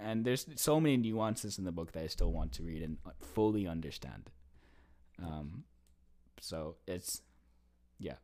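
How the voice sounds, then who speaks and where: A man with an American accent speaks at a moderate pace in a very deep, low voice with a dark, mellow tone. His pitch swings very widely, and he takes long, frequent pauses. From US East Coast. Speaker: zoology graduate student. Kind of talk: casual chat. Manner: halting.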